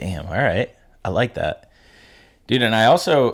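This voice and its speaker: The speaker is a man. The recording is very clean, and the background is silent. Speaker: podcast co-host. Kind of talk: casual chat. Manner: fast.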